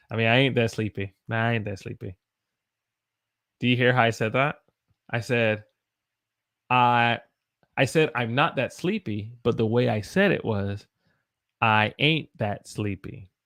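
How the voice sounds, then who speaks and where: A man's Southern US accent at a fairly slow pace, with long, frequent pauses, ordinary pitch variation, and a dry, close sound with no echo. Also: medium pitch for a man, very clean recording, silent background. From US South. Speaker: English teacher. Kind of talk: live-stream English lesson. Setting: live stream with chat.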